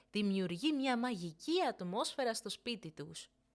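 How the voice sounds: A woman's medium-pitched voice with lively intonation, on a very clean recording with a silent background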